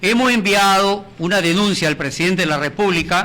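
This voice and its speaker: A raised, projected voice comes through at a fairly slow pace with ordinary pitch variation over noticeable background noise. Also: man. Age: 70s. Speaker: retired heritage campaigner. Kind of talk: TV interview.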